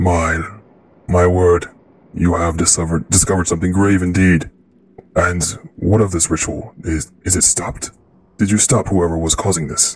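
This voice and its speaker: A man in a booming put-on character voice speaks at a fairly slow pace with a very deep, low pitch. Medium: actual play. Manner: formal, grave.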